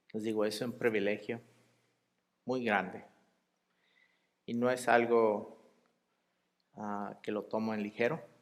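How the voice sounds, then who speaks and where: Amid audible room echo, a man speaks very slowly in a flat monotone with long, frequent pauses. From US, El Paso, Texas. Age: 30s. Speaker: lay preacher. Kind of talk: sermon. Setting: church.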